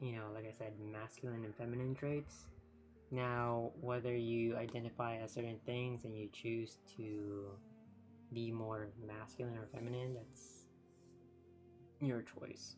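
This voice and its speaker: A soft-spoken man with an American accent, medium pitch and fairly even intonation at a fairly slow pace, with music in the background. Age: 30s. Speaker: streamer. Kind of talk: casual chat.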